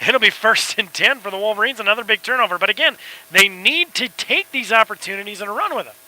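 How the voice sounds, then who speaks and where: A man's high voice at a very fast pace, with ordinary pitch variation and big swings in loudness, dry and close with no echo, over noticeable background noise. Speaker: play-by-play sports commentator. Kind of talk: live commentary. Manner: soft-spoken.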